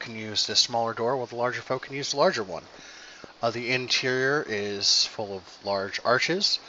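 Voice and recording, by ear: Ordinary pitch variation, with text read aloud in a natural voice.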